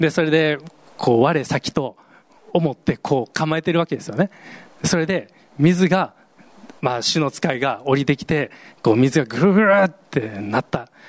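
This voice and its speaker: In a dry, close sound with no echo, a man with a fairly high pitch and ordinary pitch variation talks at a moderate pace, leaving long, frequent pauses. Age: 40s. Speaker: pastor. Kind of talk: sermon. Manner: casual, hesitant with fillers.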